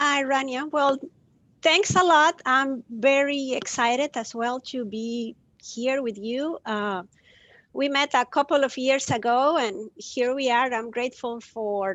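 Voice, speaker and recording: A woman speaks in a Spanish accent at a high pitch. Her pace is fairly slow and her pitch varies in an ordinary way. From Costa Rica. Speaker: compassion educator. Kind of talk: live video interview. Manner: hesitant, many fillers.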